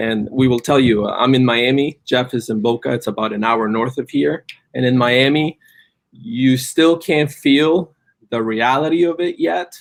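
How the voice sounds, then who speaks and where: With a Spanish accent, a man talks at a moderate pace and medium pitch, using ordinary pitch variation. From Colombia, Cali. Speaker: cannabis business entrepreneur. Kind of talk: live stream interview.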